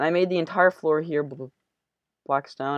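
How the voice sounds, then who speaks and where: Over a quiet background, a woman with a very deep, low voice speaks with fairly even intonation, the sound dry and close with no echo. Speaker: Minecraft YouTuber. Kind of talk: gameplay tutorial commentary. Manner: halting, many fillers and repetitions.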